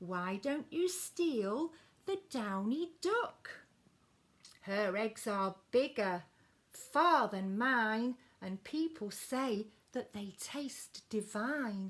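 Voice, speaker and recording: A woman speaks at a very slow pace in a put-on character voice with fairly high pitch. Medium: read story. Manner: clucking.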